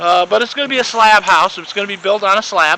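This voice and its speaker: With noticeable background noise behind him, a man speaks in a raised, projected voice at a high pitch. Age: 50s. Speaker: property owner giving video tour. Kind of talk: casual walking video tour. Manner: halting, many fillers and repeats.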